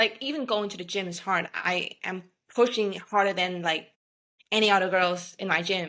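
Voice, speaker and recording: With a Vietnamese accent, a woman talks at a moderate pace in a bright, sharp tone, her medium pitch showing ordinary variation. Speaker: beverage company founder. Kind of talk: podcast interview.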